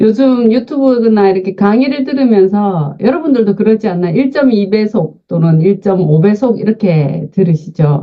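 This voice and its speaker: A woman talks at a moderate pace and medium pitch in a plain, everyday voice. Her intonation is lively, her loudness very even, with hardly any pauses. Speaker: invited lecturer on senior health. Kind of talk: online lecture.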